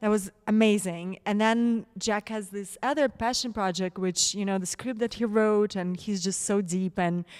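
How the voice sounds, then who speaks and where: A woman with a Russian accent speaks at medium pitch and a moderate pace. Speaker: actress. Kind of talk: interview. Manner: animated.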